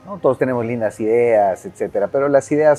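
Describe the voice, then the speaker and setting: Here a man talks with a dark, mellow tone. His pace is moderate and his pitch variation ordinary. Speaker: marketing director. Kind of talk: casual interview.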